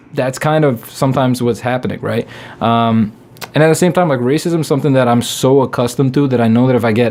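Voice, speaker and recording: Over noticeable background noise, a man speaks at a very fast pace, keeping a medium pitch and fairly even intonation. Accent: non-native. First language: not English. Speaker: comedian. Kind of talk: casual chat.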